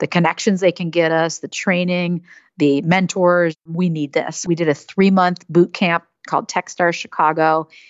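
A woman's fairly low voice with an American accent, flat and monotone at a moderate pace. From US Midwest (Madison, Wisconsin). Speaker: startup CEO and co-founder. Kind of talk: interview.

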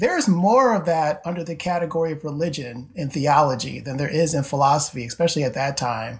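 A man with an American accent talks at a fairly quick pace with hardly any pauses, his voice fairly high and somewhat breathy. His pitch varies in an ordinary way. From upstate New York (Syracuse). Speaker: theology professor. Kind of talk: interview conversation.

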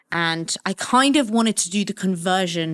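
An ordinary speaking voice at a moderate pace with ordinary pitch variation comes through a dry, close sound with no echo in a very clean recording with a silent background. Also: woman. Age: 30s. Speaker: DJ and podcast producer. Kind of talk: casual chat.

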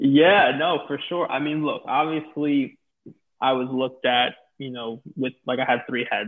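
With an American accent, a man speaks fairly slowly in an unremarkable speaking voice, his pitch fairly high and his intonation fairly even. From New York City. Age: 20s. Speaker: talent manager for influencers. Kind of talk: casual interview.

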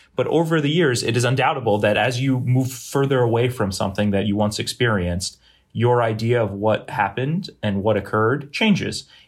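A man's somewhat breathy voice at a medium pitch, with an American accent, ordinary pitch variation and a fairly quick pace. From Boston area, New England. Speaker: surgery resident. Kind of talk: debate discussion. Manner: halting, many fillers.

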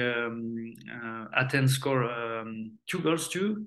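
A man is speaking. He talks with a French accent. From France. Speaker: retired footballer. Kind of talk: interview. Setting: remote call. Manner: halting.

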